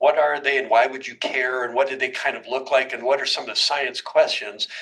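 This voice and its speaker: A man speaks very fast while noticeable background noise runs underneath. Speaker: research scientist. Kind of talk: lecture. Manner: casual, with fillers.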